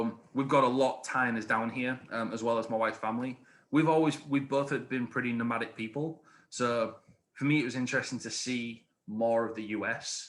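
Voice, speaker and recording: A man with an English accent and a medium pitch talks at a fairly quick pace with fairly even intonation, on a very clean recording with a silent background. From England. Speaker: high school history teacher and youth soccer coach. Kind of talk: podcast interview. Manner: hesitant, many fillers.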